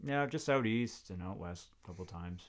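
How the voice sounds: Speaking at a moderate pace, a man uses a fairly low pitch and lively intonation.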